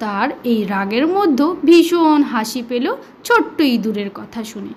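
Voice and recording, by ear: At a fairly slow pace, a woman speaks in a fairly high, slightly mellow voice with big pitch swings.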